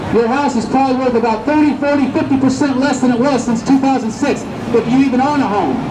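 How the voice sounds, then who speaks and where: A man speaks at an extremely high pitch and a fairly quick pace. His intonation is fairly even, with noticeable background noise behind him. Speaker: street preacher. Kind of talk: street preaching to passersby. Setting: outdoors, Hollywood street. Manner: emphatic, persuasive.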